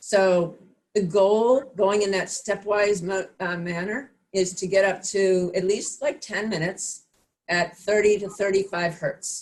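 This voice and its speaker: A woman with a normal speaking voice talks at a fairly slow pace in a medium pitch with fairly even intonation. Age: 60s. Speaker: fitness instructor. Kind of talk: online class instruction. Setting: video call.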